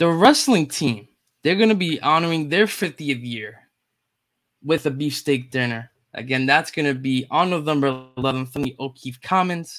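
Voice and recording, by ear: A man speaks at a moderate pace with a fairly high pitch. His tone is fairly bright, and his pitch varies in an ordinary way.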